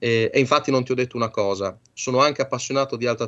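A man speaks in a medium pitch. His pitch varies in an ordinary way. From Bologna, northern Italy. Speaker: electronics engineer and radio amateur. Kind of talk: radio interview.

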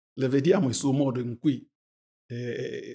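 At a very slow pace, a man speaks with a somewhat breathy, fairly high voice. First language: not Italian (speaking Italian). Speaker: pastor. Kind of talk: religious discussion.

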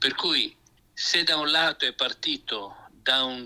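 A man speaks over noticeable background noise. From Emilia-Romagna, Italy. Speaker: pastor. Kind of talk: radio interview on Bible topics.

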